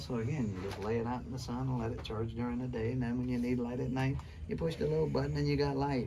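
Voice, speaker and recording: In a room with audible echo and noticeable background noise, a man speaks at a medium pitch with very wide pitch swings. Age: 60s. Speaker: survival skills instructor. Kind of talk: classroom lecture. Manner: animated.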